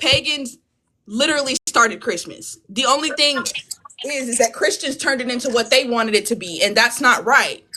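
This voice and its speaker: Loud and passionate in tone, a woman speaks at a high pitch and moderate pace with ordinary pitch variation. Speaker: panelist. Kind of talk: heated debate. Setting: live video stream.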